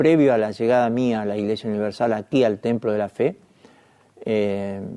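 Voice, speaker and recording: A man's dark, mellow voice at a medium pitch with fairly even intonation. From Argentina. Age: 60s. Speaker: journalist. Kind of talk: testimony.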